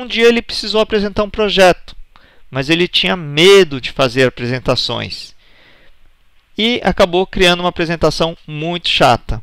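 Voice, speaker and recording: With lively intonation and a high pitch, a man speaks in a dry, close sound with no echo. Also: moderate pace. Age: 40s. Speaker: presentation skills instructor. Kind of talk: online course lecture.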